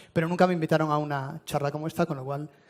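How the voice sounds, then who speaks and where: Speaking with a Spanish accent, a man talks at a very fast pace. His pitch is fairly high. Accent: Spanish (Spain). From Spain. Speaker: telecom executive. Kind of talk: conference presentation. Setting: stage with audience.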